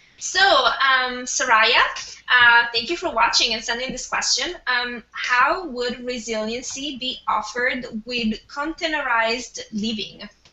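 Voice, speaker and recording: A woman with an Italian accent speaks at a fairly slow pace in a high pitch, with ordinary pitch variation. Noticeable background noise is present. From Italy. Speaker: webinar host. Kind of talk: moderating a panel. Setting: video call.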